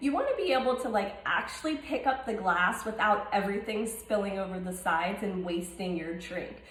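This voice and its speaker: A woman's fairly high voice amid noticeable background noise and audible room echo. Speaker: cocktail recipe vlogger. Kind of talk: tutorial. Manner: fast; animated.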